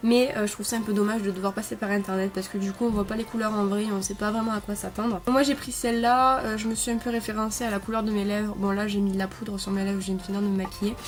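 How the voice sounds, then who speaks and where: A woman at medium pitch speaks very fast in a flat monotone, with hardly any pauses. Noticeable background noise runs underneath. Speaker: beauty vlogger. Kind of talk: product review. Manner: hesitant, many fillers.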